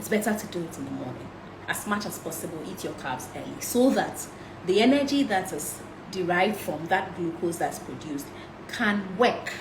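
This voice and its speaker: A woman talks at a medium pitch with lively, varied intonation. Room echo can be heard around her voice. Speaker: health and nutrition talk host. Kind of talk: live-streamed health talk. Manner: fast.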